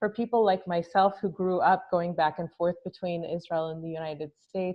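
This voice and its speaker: A woman with an American accent, an ordinary speaking voice, fairly low pitch, fairly even intonation and a moderate pace. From US West Coast (Los Angeles). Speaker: advocacy organization staffer. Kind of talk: interview. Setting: video call.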